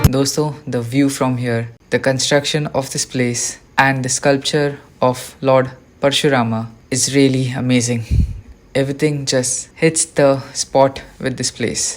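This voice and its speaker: Long, frequent pauses break up speech delivered at a fairly slow pace. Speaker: travel vlogger. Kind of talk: travel vlog narration. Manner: soft-spoken.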